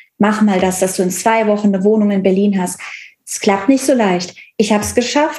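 A woman with a dark, mellow tone and a somewhat breathy voice talks at a fairly quick pace, her pitch medium with ordinary variation. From Cologne area, western Germany. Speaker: relationship coach. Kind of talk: personal testimony in interview.

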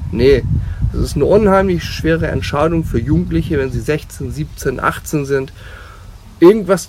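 Noticeable background noise is present. Over it, a man talks at a moderate speed. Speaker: youth handball coach. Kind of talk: interview. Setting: outdoors on a ship.

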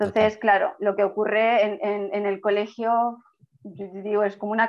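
A woman's fairly high-pitched, flat, monotone voice at a moderate pace. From Spain. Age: 30s. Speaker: children's yoga teacher. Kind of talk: interview. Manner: calm.

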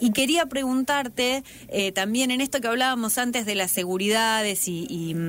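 This woman has an unremarkable speaking voice, fairly high in pitch with ordinary pitch variation, at a moderate pace. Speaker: radio interviewer. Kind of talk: interview.

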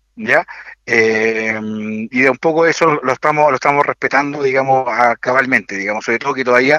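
A man speaks at a fairly quick pace with a fairly high pitch and a bright, sharp tone. His pitch varies in an ordinary way, and the sound is dry and close with no echo. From Chile, Maule region (Linares). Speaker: municipal tourism director. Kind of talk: radio interview. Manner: halting, many repetitions and fillers.

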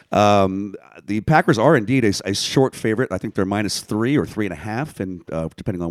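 A man with an American accent talks in a normal speaking voice at a fairly low pitch and fairly quick pace. His intonation is lively, he hardly pauses, and the sound is dry and close with no echo. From Washington DC. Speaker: podcast co-host. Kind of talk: casual chat.

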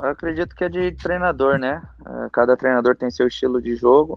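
Lively intonation from a man at a medium pitch and moderate pace. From Brazil, Minas Gerais (Monte Sião). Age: 20s. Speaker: professional footballer. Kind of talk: casual interview. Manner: halting, many repetitions and fillers.

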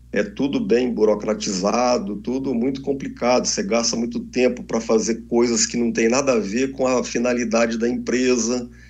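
With audible room echo, a man talks at a moderate pace and medium pitch, hardly pausing, with ordinary pitch variation. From Brasília, Brazil. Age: 50s. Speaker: entrepreneur and party official. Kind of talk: interview.

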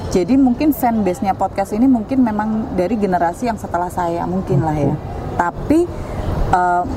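Over noticeable background noise, a woman talks at a moderate pace in a medium pitch with ordinary pitch variation. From Central Java, Indonesia (Batang). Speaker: communication lecturer, former radio announcer. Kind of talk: casual interview.

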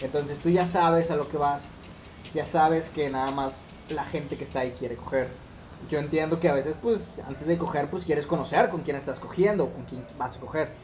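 Someone with a Mexican accent speaks at a fairly quick pace against noticeable background noise. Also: man, fairly high pitch for a man, ordinary pitch variation. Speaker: podcast co-host. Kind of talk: casual chat.

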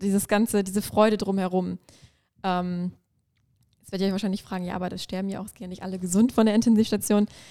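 A woman at medium pitch speaks in a dark, mellow tone with monotone, flat intonation. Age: 20s. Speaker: intensive care nurse. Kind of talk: casual interview.

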